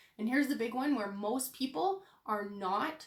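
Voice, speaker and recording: At a fairly slow pace, a woman speaks with a fairly high pitch, ordinary pitch variation, and a somewhat breathy voice. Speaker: online business coach. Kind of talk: live stream business coaching. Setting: live video stream. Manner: animated.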